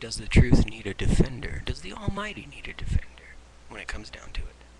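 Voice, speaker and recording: A man whispers at a very fast pace, his loudness swinging widely, against noticeable background noise. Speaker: vlogger. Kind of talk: webcam monologue on faith. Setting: webcam at home. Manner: halting, repeating words.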